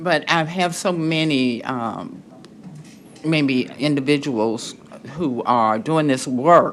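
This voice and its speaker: The speech goes at a very slow pace with music in the background. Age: 70s. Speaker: county commissioner. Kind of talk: public committee meeting questioning.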